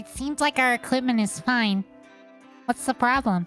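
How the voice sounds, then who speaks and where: A woman puts on a squeaky, high-pitched character voice at a moderate pace. Clear music plays in the background. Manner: funny, sped-up sounding.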